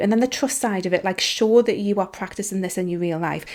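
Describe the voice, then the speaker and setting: In a very clean recording over a silent background, a woman with a slight Geordie accent speaks at a fairly quick pace and medium pitch, with a dark, mellow tone and ordinary pitch variation. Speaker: business coach and podcast host. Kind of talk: podcast monologue. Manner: animated; casual, filler-heavy.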